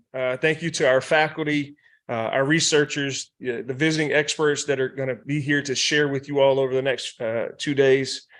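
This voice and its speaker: Against a quiet background, a man with a fairly high-pitched voice and a North Carolina accent speaks at a moderate pace in a monotone, flat way, with hardly any pauses. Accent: Southern US (North Carolina). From rural North Carolina. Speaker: university president. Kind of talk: welcome speech. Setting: workshop room with audience, also streamed online. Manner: hesitant, many fillers.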